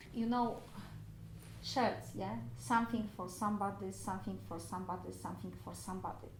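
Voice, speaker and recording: A woman talks at a fairly quick pace with a non-native accent. Some room echo can be heard. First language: not English. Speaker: private renter. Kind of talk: interview. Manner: halting.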